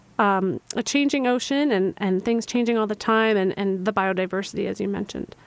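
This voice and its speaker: A woman with an ordinary speaking voice talks at a medium pitch with ordinary pitch variation and hardly any pauses. The background is quiet. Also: fairly quick pace. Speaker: radio host. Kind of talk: radio interview. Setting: radio studio.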